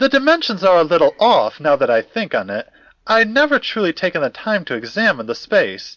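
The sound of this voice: A man does a put-on character voice, high in pitch and fairly bright in tone. He moves at a fairly quick pace with very wide pitch swings.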